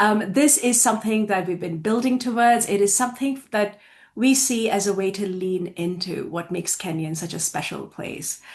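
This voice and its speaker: At a moderate pace, a woman talks with a medium pitch and ordinary pitch variation. Her voice is somewhat breathy. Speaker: college faculty administrator. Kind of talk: presentation. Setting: video call. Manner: serious.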